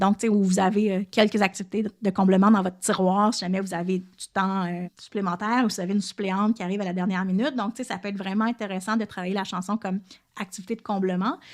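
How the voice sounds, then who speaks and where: Flat and monotone, a woman at medium pitch speaks at a very fast pace in a very clean recording with a silent background. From Quebec, Lanaudière. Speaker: French second-language teacher and podcaster. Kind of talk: educational podcast monologue. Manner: casual, many fillers.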